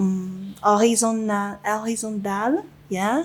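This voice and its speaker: In a Chinese accent, a woman speaks very slowly at a fairly high pitch. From China. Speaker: winemaker. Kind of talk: interview. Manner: halting, many fillers.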